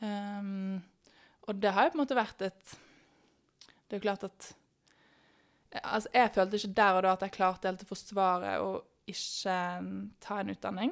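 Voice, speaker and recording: A woman speaks at a medium pitch and a moderate pace, with fairly even intonation and big swings in loudness. She takes long, frequent pauses, and the recording is very clean with a silent background. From Norway, Bergen. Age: 20s. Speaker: sprinter. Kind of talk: podcast interview.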